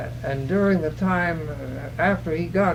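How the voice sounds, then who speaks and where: A man with an American accent speaks at a moderate pace in a high voice, with audible room echo and noticeable background noise. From California, US. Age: 90s. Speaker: oral history interviewee. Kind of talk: oral history interview. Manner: halting, many hesitations.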